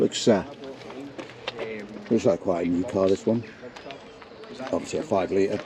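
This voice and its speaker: Noticeable background noise runs under a voice that moves at a moderate pace with ordinary pitch variation and long, frequent pauses. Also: man, fairly low pitch for a man. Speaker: car vlogger. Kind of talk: casual vlog commentary. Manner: quiet; hesitant, many fillers.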